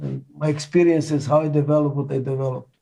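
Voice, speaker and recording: A man with a non-native accent speaks at a fairly quick pace in a fairly high, somewhat breathy voice. His tone is dark and mellow, his intonation monotone and flat. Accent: foreign accent in every language. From Israel. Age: 80s+. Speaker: management consultant and author. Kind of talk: interview.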